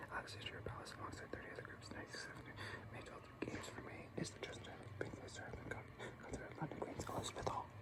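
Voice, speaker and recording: A whispered voice races along at a very fast pace, with noticeable background noise behind it. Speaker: ASMR creator. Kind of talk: ASMR reading / trance. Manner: whispered, soft, rapid reading aloud.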